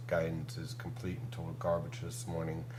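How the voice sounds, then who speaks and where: A medium-pitched man talks amid clear background noise, with the echo of the room audible. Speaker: meteorologist. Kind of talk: weather forecast discussion.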